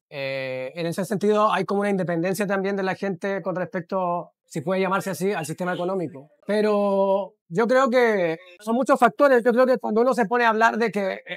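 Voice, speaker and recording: A man with a Chilean accent talks at a fairly quick pace in a high pitch, with ordinary pitch variation, recorded dry and close with no echo. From Chile, Santiago. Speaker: bookshop owner, philosopher. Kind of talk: interview. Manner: halting.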